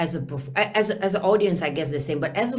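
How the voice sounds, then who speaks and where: A woman with an Italian accent at a fairly quick pace, ordinary pitch variation, audible room echo and noticeable background noise. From Venice, Italy. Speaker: singer. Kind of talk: interview.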